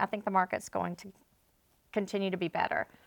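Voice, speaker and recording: A woman at medium pitch with a Louisiana accent, very fast and fairly even in intonation, in a dry, close sound with no echo on a very clean recording with a silent background. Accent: Louisiana Southern US. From Northwest Louisiana. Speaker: realtor. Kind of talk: casual chat.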